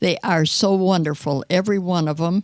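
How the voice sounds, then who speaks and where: In a Midwestern American accent, the speaker talks at a fairly slow pace, the sound dry and close with no echo. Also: woman. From US Midwest, Detroit. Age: 80s+. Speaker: nonagenarian guest. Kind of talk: casual chat.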